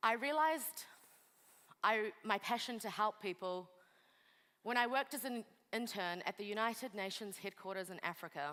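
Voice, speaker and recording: Speaking in a New Zealand accent at a moderate pace, a woman has a fairly high pitch, a bright, sharp tone and lively intonation. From New Zealand, Kurdish refugee family via Pakistan. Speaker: lawyer and refugee advocate. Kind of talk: motivational speech.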